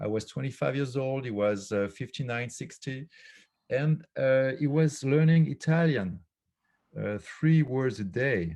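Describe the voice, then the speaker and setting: In a French accent, a man speaks at a medium pitch with a dark, mellow tone and lively intonation. He goes at a fairly slow pace over a quiet background. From France. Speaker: philosopher and author. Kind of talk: casual chat. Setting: video call. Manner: halting, many fillers.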